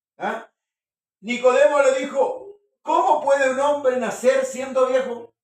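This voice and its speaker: A man speaks at a fairly slow pace with an extremely high pitch. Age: 60s. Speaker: preacher. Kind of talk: sermon.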